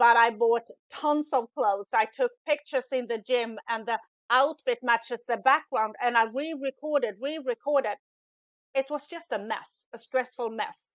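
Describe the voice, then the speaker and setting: Speaking at a moderate pace with a Swedish accent, a woman uses a high pitch with ordinary pitch variation. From Sweden. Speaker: business coach, former truck driver. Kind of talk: podcast interview.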